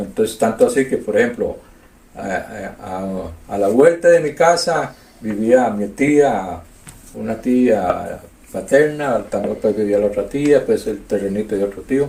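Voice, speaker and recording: A man with a Costa Rican accent speaks at a fairly slow pace. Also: medium pitch for a man, lively intonation. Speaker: community elder. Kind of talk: oral history interview. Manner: halting.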